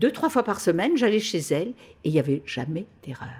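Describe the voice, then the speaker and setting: A woman speaks at medium pitch with very wide pitch swings. Her voice is somewhat breathy. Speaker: clairvoyant. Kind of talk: interview answer. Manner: enthusiastic, laughing.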